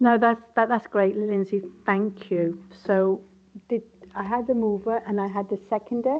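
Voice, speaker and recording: A woman's medium-pitched voice, fairly even in intonation, at a moderate pace. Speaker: committee chair. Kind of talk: council committee meeting. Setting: hybrid meeting.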